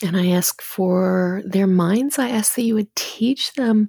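Speech at a fairly slow pace shows ordinary pitch variation. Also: woman, dry, close sound with no echo. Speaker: podcast host and mother. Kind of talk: fervent prayer. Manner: earnest, tender, heartfelt; halting, repeating words, soft.

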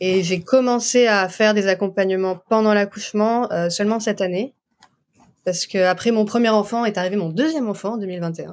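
This woman has a plain, everyday voice of medium pitch. She talks at a moderate pace with ordinary pitch variation. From France. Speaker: doula and osteopath. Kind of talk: interview.

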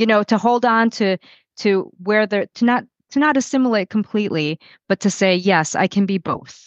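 A plain, everyday voice with ordinary pitch variation and very even loudness comes through with a dry, close sound, no echo, and a quiet background. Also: woman. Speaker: guest. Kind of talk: interview discussion.

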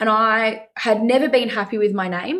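A woman speaks in an Australian accent at a moderate pace, her pitch fairly high with ordinary variation. The recording is very clean, with a silent background. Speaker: venue manager. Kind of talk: interview.

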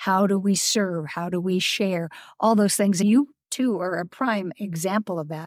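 The woman has an ordinary speaking voice, medium in pitch, at a moderate pace. The sound is dry and close with no echo. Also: ordinary pitch variation. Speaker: podcast host. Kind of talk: casual interview. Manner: warm and laughing.

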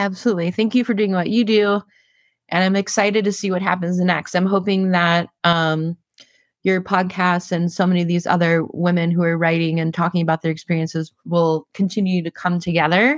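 Using an ordinary speaking voice, a woman talks at a fairly quick pace with a fairly low pitch and very even loudness, in a dry, close sound with no echo and a very clean recording with a silent background. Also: fairly even intonation. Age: 40s. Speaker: editorial director and blogger. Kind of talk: interview.

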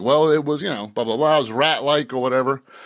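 A man with an American accent, an animated tone and a fairly quick pace. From Boston. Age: 60s. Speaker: author. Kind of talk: casual interview. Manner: halting, repeats words.

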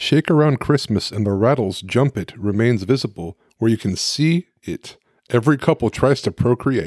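A man with a plain, everyday voice and medium pitch speaks at a moderate pace with lively intonation. The sound is dry and close with no echo, in a very clean recording with a silent background. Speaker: podcast host. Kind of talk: casual chat. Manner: joking, playful.

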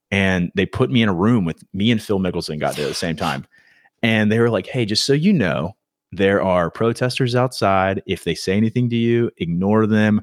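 A man's plain, everyday voice at a fairly low pitch, with ordinary pitch variation and a moderate pace, dry and close with no echo, on a very clean recording with a silent background. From South Carolina, Myrtle Beach. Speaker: golf influencer and former pro surfer. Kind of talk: casual chat.

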